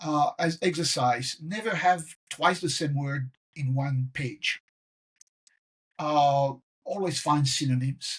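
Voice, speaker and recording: Pausing long and often, a man with a fairly high pitch talks at a very slow pace in a somewhat breathy voice with ordinary pitch variation. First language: French. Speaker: professor. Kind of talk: casual chat.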